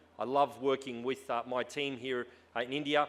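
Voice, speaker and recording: Someone speaks with an Australian accent. The pace is fairly quick. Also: man. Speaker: tech company executive. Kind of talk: conference talk. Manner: hesitant, many fillers.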